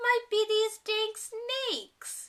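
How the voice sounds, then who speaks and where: A woman's put-on character voice, squeaky and extremely high, in a flat monotone. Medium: read story. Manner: folksy, easygoing.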